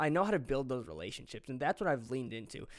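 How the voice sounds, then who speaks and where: A man speaks in an animated tone. His voice has vocal fry. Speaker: podcast host. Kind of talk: solo podcast monologue. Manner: fast talker; excitable, animated.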